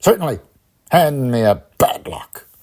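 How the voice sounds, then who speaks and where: A man puts on a character voice, speaking at a fairly slow pace with a fairly high pitch. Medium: read story.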